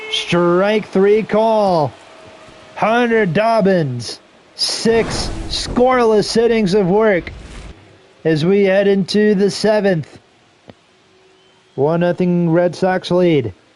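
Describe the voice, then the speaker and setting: A man with a high voice speaks very slowly at a very even loudness, with long, frequent pauses, ordinary pitch variation and noticeable background noise. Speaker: video game streamer doing play-by-play. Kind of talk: live commentary. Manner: casual, conversational.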